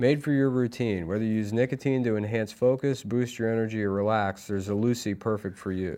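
Over a quiet background, a man with medium pitch and a dark, mellow tone speaks fairly quickly. His intonation is fairly even, and he hardly pauses. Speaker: comedian. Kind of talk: casual chat. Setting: studio. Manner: crude, laughs often.

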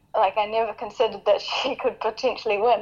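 With a normal speaking voice, a woman talks at a fairly high pitch and with fairly even intonation. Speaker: professional cyclist, under-23 world champion. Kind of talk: interview answers.

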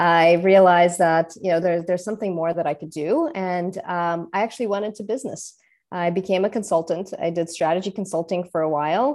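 The speech moves at a fairly quick pace with hardly any pauses and ordinary pitch variation, in a very clean recording with a silent background. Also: woman, fairly low pitch for a woman. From Russia, moved to New York City at 13. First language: Russian. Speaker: entrepreneur. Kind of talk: interview.

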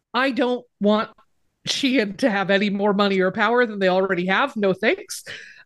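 An unremarkable speaking voice from a woman, fairly high in pitch, at a moderate pace with ordinary pitch variation. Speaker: writer, podcaster and activist. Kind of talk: casual interview chat.

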